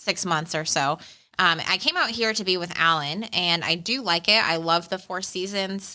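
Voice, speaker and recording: With an American accent, a woman talks at a moderate pace in an unremarkable speaking voice, her pitch medium and its variation ordinary. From Arizona, US. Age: 30s. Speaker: life coach. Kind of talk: podcast interview. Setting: in studio, sitting across from host.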